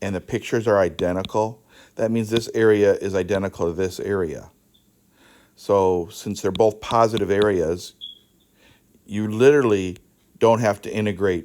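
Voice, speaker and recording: On a very clean recording with a silent background, a man at a fairly low pitch speaks at a moderate pace with fairly even intonation and long, frequent pauses. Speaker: math teacher. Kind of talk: lecture.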